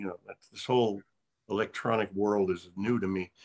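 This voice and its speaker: With an unremarkable speaking voice, a man talks fairly quickly in a fairly low voice. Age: 60s. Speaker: actor. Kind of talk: casual chat.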